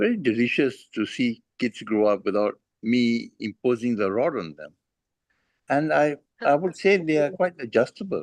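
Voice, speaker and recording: A man speaks at a moderate pace in a medium pitch, his voice swinging very widely in pitch, with a dry, close sound and no echo. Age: 60s. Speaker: parent sharing experience. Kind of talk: casual chat. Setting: video call. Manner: halting.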